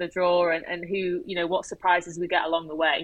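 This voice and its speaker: Here is a woman with an ordinary speaking voice at a medium pitch. She talks at a fairly quick pace. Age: young. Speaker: football commentator. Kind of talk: casual chat.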